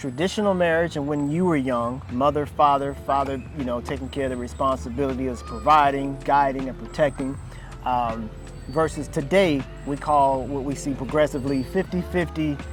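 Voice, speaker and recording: A man speaks at a moderate pace and medium pitch, with ordinary pitch variation, while music plays in the background. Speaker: interviewer and host. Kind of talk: interview question.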